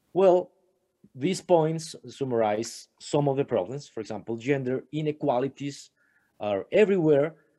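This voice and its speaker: Against a quiet background, a man speaks with a dark, mellow tone and a fairly high pitch. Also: moderate pace. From Colombia. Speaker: astronomer; remote conference presenter. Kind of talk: conference talk. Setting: remote video call. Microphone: webcam.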